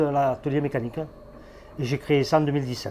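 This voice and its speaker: Here a man speaks at a fairly high pitch. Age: 60s. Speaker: garage owner and business founder. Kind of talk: interview. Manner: hesitant, many fillers.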